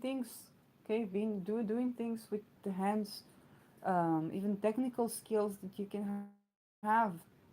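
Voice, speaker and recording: A woman's medium-pitched voice in an Israeli accent, dark and mellow in tone, at a fairly slow pace. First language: Hebrew. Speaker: astrologer. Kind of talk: astrology talk. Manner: many fillers and hesitations.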